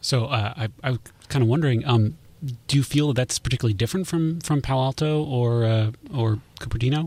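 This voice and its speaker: Somewhat breathy, a man with an American accent speaks at a fairly quick pace and medium pitch, with very even loudness. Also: ordinary pitch variation. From Mountain View, California. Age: 30s. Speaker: housing advocate. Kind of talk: radio debate. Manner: halting, repeats words.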